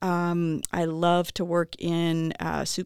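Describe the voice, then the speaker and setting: In a Chicago accent, the voice comes through dry and close with no echo, on a very clean recording with a silent background. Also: woman. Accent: Chicago American English. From Chicago, US Midwest. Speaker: professor. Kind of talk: casual interview. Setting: studio. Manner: hesitant, many fillers.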